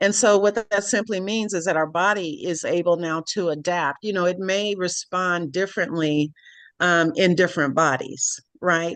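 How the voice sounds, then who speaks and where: Against a quiet background, a woman with an unremarkable speaking voice talks at a moderate pace and a fairly low pitch, with ordinary pitch variation. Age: 60s. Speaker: wellness product distributor. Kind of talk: product presentation. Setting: video call.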